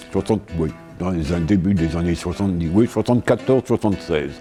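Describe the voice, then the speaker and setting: Music plays in the background. Over it, a man talks in a very deep, low voice. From Paris. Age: 80s+. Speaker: photographer. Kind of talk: interview answer. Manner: lively, colourful storyteller.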